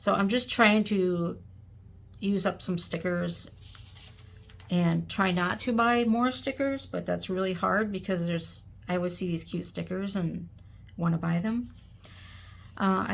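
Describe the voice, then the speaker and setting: A somewhat breathy woman at a moderate pace, with ordinary pitch variation and long, frequent pauses. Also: medium pitch for a woman. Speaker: planner hobbyist. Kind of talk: casual talk to camera.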